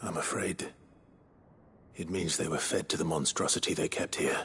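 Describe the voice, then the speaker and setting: Whispering at a moderate pace, a man puts on a character voice. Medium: video game. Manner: calm, measured.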